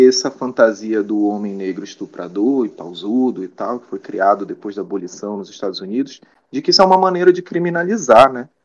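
Pitched in the medium range, a man's voice makes very wide pitch swings. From Belém, Pará, Brazil. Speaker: psychology researcher. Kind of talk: interview.

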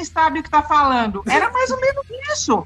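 A woman speaks in a raised, projected voice at a fairly quick pace amid noticeable background noise. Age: 50s. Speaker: former band interpreter. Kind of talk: casual interview.

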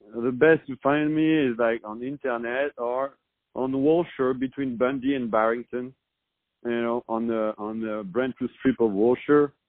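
A man speaks with a French accent at medium pitch. His pace is moderate and his intonation fairly even. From France. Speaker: restaurant owner. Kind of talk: interview.

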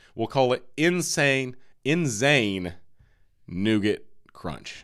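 A man's medium-pitched voice with lively intonation, a plain, everyday voice, in a very clean recording with a silent background. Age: 30s. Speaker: podcast host. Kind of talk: casual chat.

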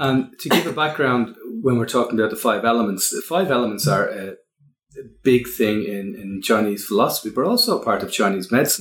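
In an Irish accent, a man talks at a fairly quick pace with ordinary pitch variation. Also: medium pitch for a man. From Ireland. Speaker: podcast host and wellbeing consultant. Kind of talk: casual interview chat.

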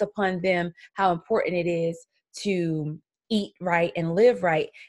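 A woman speaks in a South Carolina accent at a very slow pace with fairly even intonation, in a very clean recording over a silent background. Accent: Southern US (South Carolina). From US South, Columbia, South Carolina. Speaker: podcast host. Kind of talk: solo podcast monologue.

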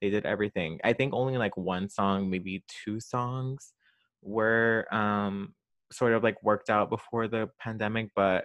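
Here is a man with a plain, everyday voice and a fairly low pitch. He talks at a fairly slow pace with fairly even intonation. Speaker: pop culture podcast host. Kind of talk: solo podcast monologue. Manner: casual, filler-heavy.

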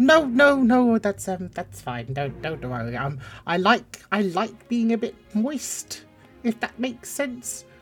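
A man speaks slowly in a put-on character voice that sits high and swings widely in pitch, with a slightly husky edge and faint music behind him.

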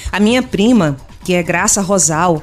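A woman with lively intonation speaks at a medium pitch while noticeable background noise carries on behind her. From Pernambuco, Brazil (Agreste). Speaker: customer service consultant and speaker. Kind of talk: radio interview. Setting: studio.

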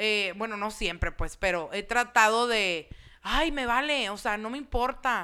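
On a very clean recording with a silent background, a woman with a Mexican accent speaks at a fairly high pitch and fairly slow pace in a bright, sharp tone. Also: ordinary pitch variation. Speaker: podcast guest. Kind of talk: casual chat. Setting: studio.

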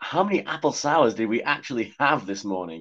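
Lively intonation in plain reading aloud

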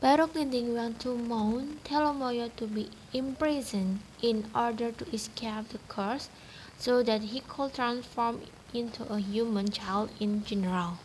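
A woman with a plain, everyday voice, fairly high pitch, ordinary pitch variation and a fairly slow pace. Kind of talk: folktale narration. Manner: storytelling cadence, measured and even.

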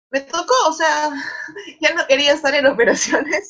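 A woman speaks at a fairly slow pace. Her voice is high in pitch with a bright, sharp tone. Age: 20s. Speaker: bank risk analyst. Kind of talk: interview.

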